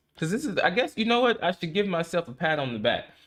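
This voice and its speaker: Relaxed in tone, a man speaks at a fairly quick pace. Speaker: livestreamer. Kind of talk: casual chat. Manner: fast; talkative, relaxed.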